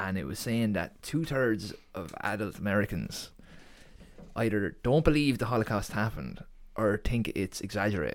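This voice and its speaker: A man with an Irish Midlands accent speaks at a fairly low pitch, his intonation lively. The recording is very clean, with a silent background. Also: moderate pace. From Ireland, Co. Laois. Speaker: graphic designer guest. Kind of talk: casual interview chat.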